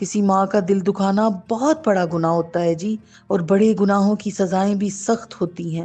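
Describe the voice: The clip features plain reading aloud.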